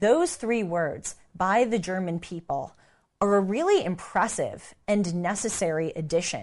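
A woman with a Southern California accent, medium pitch, ordinary pitch variation and a fairly slow pace against a quiet background. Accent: American, Valley girl. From United States. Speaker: commentator, podcast host. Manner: conversational, storytelling.

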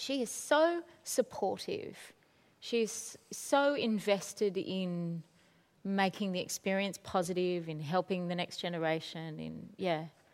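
A woman with an ordinary speaking voice, medium pitch, lively intonation and a fairly slow pace, on a very clean recording with a silent background. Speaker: theatre artistic director. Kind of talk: onstage interview conversation. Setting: stage with audience. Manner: warm, casual, chatty.

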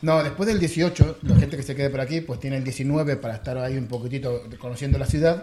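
With an Argentine accent, a man talks at a fairly quick pace with hardly any pauses, a fairly high pitch and ordinary pitch variation over noticeable background noise. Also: big swings in loudness. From Argentina, Buenos Aires. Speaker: software developer. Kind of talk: casual chat.

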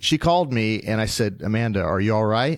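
Here a man with an American accent talks at a moderate pace in a medium pitch. He has a normal speaking voice with ordinary pitch variation. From Wichita, Kansas. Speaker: metals branch manager. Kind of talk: casual interview. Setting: sales meeting in Nashville.

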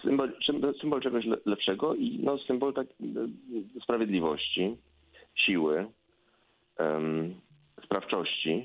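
At a very slow pace with long, frequent pauses, a man speaks at a medium pitch, his pitch swinging very widely while his loudness stays very even. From Poland. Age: 50s. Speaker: professor, Americanist. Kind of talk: radio interview.

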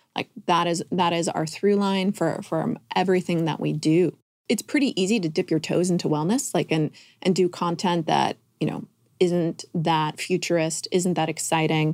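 In an American accent, a woman with an unremarkable speaking voice talks at a moderate pace and a fairly low pitch, her intonation fairly even, on a very clean recording with a silent background and a dry, close sound with no echo. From California. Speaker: wellness media company co-founder. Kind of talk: podcast interview.

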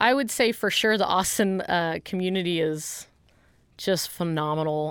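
A woman with an American accent talks at a moderate pace in a plain, everyday voice. Her pitch is fairly low with ordinary variation, and the recording is very clean with a silent background. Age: 30s. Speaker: fitness entrepreneur. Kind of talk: interview.

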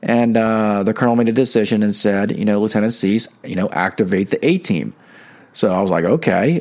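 A man's fairly low-pitched, fairly quick speech in a plain, everyday voice, with ordinary pitch variation and a quiet background. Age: 50s. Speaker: podcast host and spiritual coach. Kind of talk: religious reflection monologue. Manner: casual with many fillers.

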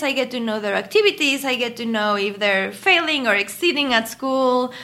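With a Mexican accent, a woman speaks at a moderate pace in a high pitch, her bright, sharp tone carrying lively intonation. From Mexico City. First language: Spanish. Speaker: pediatric endocrinologist. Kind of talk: interview.

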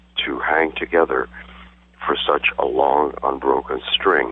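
Noticeable background noise runs under the audio. A man talks at a fairly slow pace. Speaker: marathon runner. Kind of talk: casual interview. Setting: phone call.

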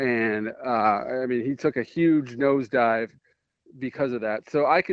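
A normal speaking voice from a man, moderate in speed and ordinary in pitch variation. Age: 30s. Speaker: college football reporter. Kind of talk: casual chat.

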